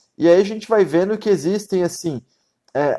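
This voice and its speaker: A man's voice sits high in pitch and has a dark, mellow tone. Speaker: Ayurveda teacher. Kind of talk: live-stream lecture. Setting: live stream. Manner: fast; casual, colloquial.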